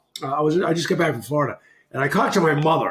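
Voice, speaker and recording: A man with a Boston accent talks very fast in a fairly high voice. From Massachusetts, Boston area. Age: 60s. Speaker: retired hockey player. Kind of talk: casual chat.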